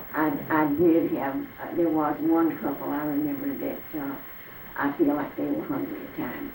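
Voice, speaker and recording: A woman with a Southern US accent, amid noticeable background noise and audible room echo. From Arkansas, US South. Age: 80s+. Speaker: elderly interviewee recalling the Depression. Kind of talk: oral history interview. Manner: halting.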